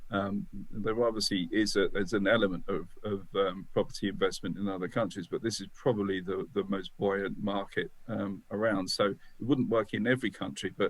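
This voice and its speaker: A man with a British accent talks at a fairly low pitch and fairly quick pace, his intonation fairly even. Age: 60s. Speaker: business founder. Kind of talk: podcast interview. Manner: halting, with many fillers and repeats.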